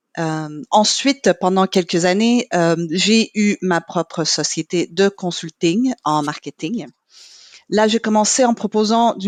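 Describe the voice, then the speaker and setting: A woman with an English accent at medium pitch, ordinary pitch variation, a very slow pace and a quiet background. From Quebec, Montreal. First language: English (speaking French). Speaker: marketing manager in corporate training. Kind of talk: podcast interview.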